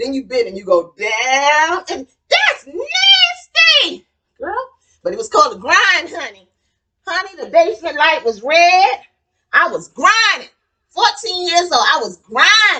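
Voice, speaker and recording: A woman's raised, projected voice, extremely high in pitch, bright and sharp, animated, with very wide pitch swings, big swings in loudness and a fairly slow pace. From New York (Queens). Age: 60s. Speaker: cooking channel host. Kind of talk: casual storytelling during cooking demo.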